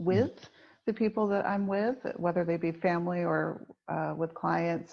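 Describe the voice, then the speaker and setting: A woman with an American accent talks against a quiet background, in an unremarkable speaking voice. Her fairly low pitch rides lively intonation. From United States. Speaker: executive coach. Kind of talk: podcast conversation.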